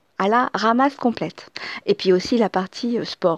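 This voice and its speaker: A woman's fairly high voice shows ordinary pitch variation, with a dry, close sound and no echo. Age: 40s. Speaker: podcaster. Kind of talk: casual monologue. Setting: at home. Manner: halting.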